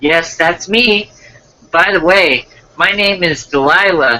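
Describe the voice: A man speaks slowly in a put-on character voice, pitched high with a bright, sharp tone and ordinary pitch variation.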